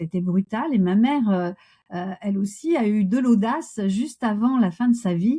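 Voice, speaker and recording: With lively intonation and a fairly high pitch, a woman speaks in a somewhat breathy voice with a dark, mellow tone over a quiet background. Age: 60s. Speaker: coach and Gestalt therapist. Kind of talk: interview conversation. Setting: podcast interview.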